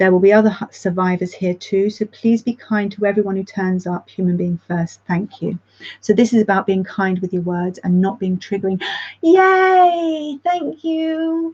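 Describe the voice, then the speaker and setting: A woman's somewhat breathy voice of medium pitch, with lively intonation and a moderate pace, dry and close with no echo. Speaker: support group facilitator. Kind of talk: reading aloud. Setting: live stream. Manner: casual, halting with fillers.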